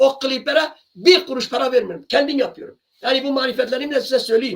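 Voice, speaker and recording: An extremely high-pitched man's voice with ordinary pitch variation at a fairly quick pace. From Kurdish region of Turkey. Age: 60s. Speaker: singer and channel owner. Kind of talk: monologue to camera. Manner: impassioned; sometimes raises voice.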